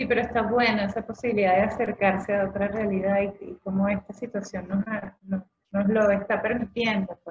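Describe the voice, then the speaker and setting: The speaker barely pauses, holding a monotone, flat intonation throughout. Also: woman, medium pitch for a woman, moderate pace. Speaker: dance movement therapist. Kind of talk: interview. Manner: halting, stutters when nervous.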